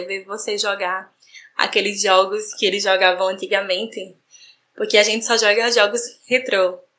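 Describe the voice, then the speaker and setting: The tone is bright and sharp, with fairly even intonation and a fairly slow pace. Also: woman. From Brazil, João Pessoa, Paraíba. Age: 30s. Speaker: gaming content creator. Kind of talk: personal story recorded testimony.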